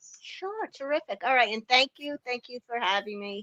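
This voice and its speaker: A woman speaks with a Long Island accent and ordinary pitch variation. The recording is dry and close, with no echo. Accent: Long Island New York. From New York, Long Island. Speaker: knitting tool inventor and business owner. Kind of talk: interview.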